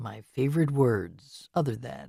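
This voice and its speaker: In a put-on character voice, a man speaks at a fairly slow pace with medium pitch and ordinary pitch variation, on a very clean recording with a silent background. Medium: read story.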